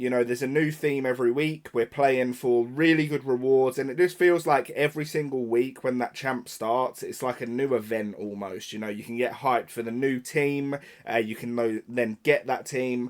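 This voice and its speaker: Speaking at a moderate pace with hardly any pauses, a man with a British accent uses a medium-pitched voice. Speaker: gaming YouTuber. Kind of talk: casual rant to camera. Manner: unscripted, hesitant with repetitions.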